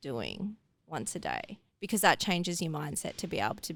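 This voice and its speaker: With an Australian accent, a woman talks at a moderate pace and a medium pitch with ordinary pitch variation. Vocal fry is present in her voice. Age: 20s. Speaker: athlete, hurdle sprinter. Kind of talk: casual interview chat.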